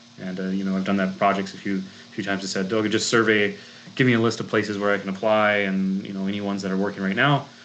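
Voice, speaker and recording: In a room with audible echo, a man speaks at a fairly quick pace and a fairly low pitch. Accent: strong Minnesotan. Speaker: grant consultant and chemist. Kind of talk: presentation talk. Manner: many fillers and restarts.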